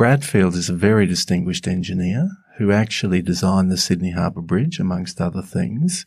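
Very deep and low, this man's voice carries an Australian accent. He talks at a fairly quick pace with ordinary pitch variation. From Northern Australia. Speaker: climate scientist. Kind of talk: panel discussion.

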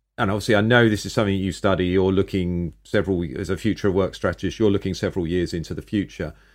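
A man with a very deep, low pitch and a British accent, very fast with hardly any pauses, fairly even intonation, and a quiet background. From Britain. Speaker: podcast host. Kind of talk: interview.

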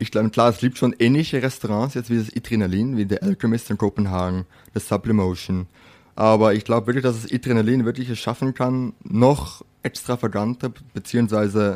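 Moderate pace in a Dutch accent with ordinary pitch variation, a very clean recording with a silent background and a dry, close sound with no echo. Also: man, medium pitch for a man. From Netherlands. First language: Dutch (speaking German). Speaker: chef. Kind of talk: interview.

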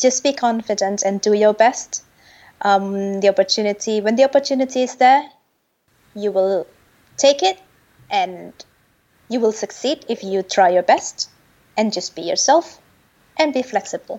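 Speech comes at a moderate pace with ordinary pitch variation. Long, frequent pauses break it up. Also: woman, fairly high pitch for a woman. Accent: Indonesian. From Indonesia. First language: Indonesian. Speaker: consultant for the UN. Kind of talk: casual interview.

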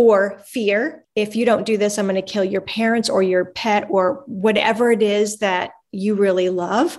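A woman with a plain, everyday voice speaks at a medium pitch. Her pace is fairly slow and her intonation fairly even. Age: 50s. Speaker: abuse and trafficking survivor. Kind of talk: testimony.

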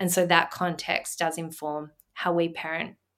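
A woman speaks with an Australian accent and a fairly low pitch. Her pace is fairly slow. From Australia, Melbourne. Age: 30s. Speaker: businesswoman and mother. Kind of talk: casual chat. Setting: video call.

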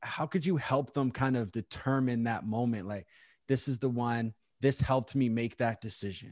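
In an ordinary speaking voice, a man talks at a moderate pace. The sound is dry and close with no echo, over a quiet background. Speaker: podcast host. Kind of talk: casual interview chat. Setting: remote call.

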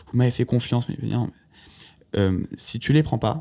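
Medium in pitch, the man's voice has a dark, mellow tone. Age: 20s. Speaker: startup founder. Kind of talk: casual chat.

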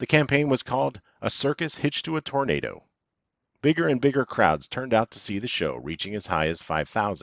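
A man with a medium pitch sounds amused, with vocal fry. He talks at a fairly quick pace with very wide pitch swings. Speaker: podcast narrator. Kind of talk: scripted history podcast narration. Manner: measured, polished storytelling with wry, dryly amused asides.

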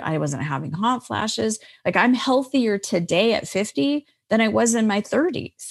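A woman speaks with an American accent at a moderate pace, her pitch sitting in the middle of her range. Her voice swings very widely in pitch against a quiet background. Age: 50s. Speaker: life coach and author. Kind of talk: interview.

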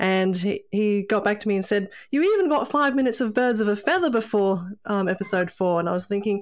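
A woman with an Australian accent and a medium pitch, talking at a fairly quick pace, in a very clean recording with a silent background. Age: 40s. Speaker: podcast co-host. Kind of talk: casual chat.

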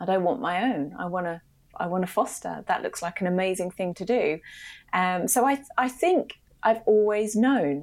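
A woman is talking at a moderate pace. Her pitch variation is ordinary. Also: medium pitch for a woman. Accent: British. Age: 40s. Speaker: creative agency founder and entrepreneur. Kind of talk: casual interview chat.

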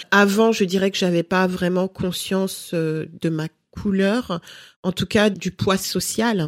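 In a very clean recording with a silent background and a dry, close sound with no echo, a woman of medium pitch speaks at a very slow pace with fairly even intonation. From Cameroon, raised in France from age five. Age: 30s. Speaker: lifestyle blogger and mother. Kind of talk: interview.

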